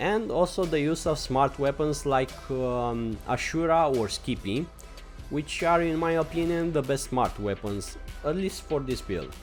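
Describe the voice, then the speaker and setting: With music in the background, a man talks at a fairly slow pace in a fairly high voice with lively intonation. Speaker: gaming guide creator. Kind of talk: casual game tutorial voice-over. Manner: hesitant, many fillers.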